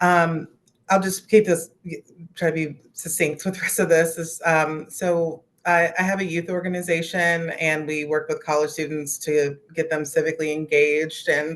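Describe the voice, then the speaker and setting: Speaking in an American accent, a woman keeps her intonation monotone and flat. Her pitch sits fairly low. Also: moderate pace. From West Virginia. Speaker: youth organizer. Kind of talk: casual discussion comment.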